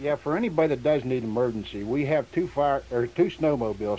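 His pitch moves in an ordinary way. The man keeps up a fairly quick pace. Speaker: fire chief. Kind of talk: emergency announcement. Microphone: old recording.

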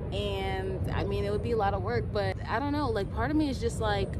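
A woman talks at a moderate pace amid loud background noise, her voice dry and without echo. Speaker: vlogger. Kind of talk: casual vlog chat. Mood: restless, slightly overwhelmed. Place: open country. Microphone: camera far.

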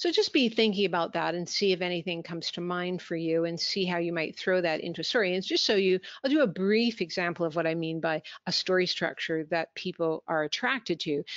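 A woman with a Canadian accent and a normal speaking voice, fairly low in pitch, with ordinary pitch variation, a fairly quick pace and hardly any pauses. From Canada. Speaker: business communication trainer. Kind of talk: webinar presentation.

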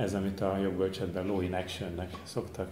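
A man's very deep, low voice with light background noise and audible room echo. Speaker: institute event host and moderator. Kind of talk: formal introduction and moderating. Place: hall. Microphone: podium.

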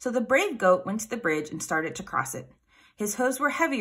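The intonation is lively as the speaker reads aloud in a natural voice.

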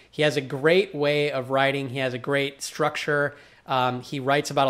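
A man is talking here. He uses a fairly high pitch. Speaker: blogging channel host. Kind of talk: interview. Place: home room. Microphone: webcam.

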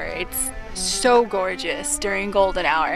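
A woman speaks over clear background music in a dry recording with no echo. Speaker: hiker vlogger. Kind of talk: casual vlog chat. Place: open country. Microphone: phone near.

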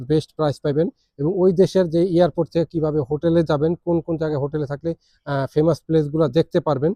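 A man's fairly high-pitched voice, dark and mellow in tone, monotone and flat, in a dry, close sound with no echo. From Bangladesh, Dhaka. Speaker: travel and visa YouTuber, assistant chef. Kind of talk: vlog self-introduction.

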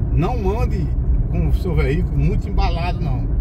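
A man amid loud background noise. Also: dry sound with no echo. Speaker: driver vlogger. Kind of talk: casual vlog chat. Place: car. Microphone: phone near.

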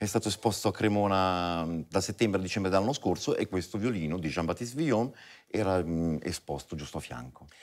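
A man's very deep, low voice at a fairly quick pace, with ordinary pitch variation over a quiet background. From Italian origin. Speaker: violinist; guest. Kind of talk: TV interview. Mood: calm, thoughtful. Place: studio. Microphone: lapel.

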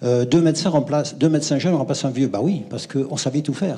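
A man talks very fast in a dark, mellow, somewhat breathy voice with ordinary pitch variation. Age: 70s. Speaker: retired doctor, audience member; audience member. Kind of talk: audience question. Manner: animated. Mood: indignant, nostalgic. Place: hall.

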